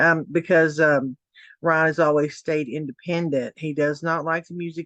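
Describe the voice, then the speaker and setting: A speaker with a Tennessee accent goes at a moderate pace with fairly even intonation. The sound is dry and close with no echo, over a quiet background. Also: woman. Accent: Southern US (Tennessee). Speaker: commentary YouTuber. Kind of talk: casual commentary vlog. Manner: hesitant, many fillers.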